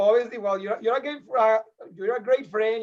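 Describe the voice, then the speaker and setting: Here a man talks in a Spanish accent. His pitch is high. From Colombia. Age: 30s. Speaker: podcast guest. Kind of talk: casual chat.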